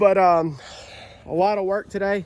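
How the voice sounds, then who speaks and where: With a Southern US accent, a man speaks at a moderate pace in a monotone, flat intonation. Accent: US South. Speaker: YouTuber, amateur race car builder. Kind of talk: casual vlog talk.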